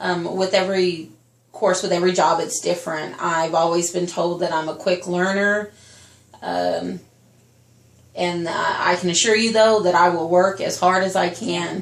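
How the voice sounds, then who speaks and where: Against noticeable background noise, the speaker keeps a moderate pace with monotone, flat intonation. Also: woman, fairly low pitch for a woman. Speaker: teacher, job interviewee. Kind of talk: mock job interview. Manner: loud.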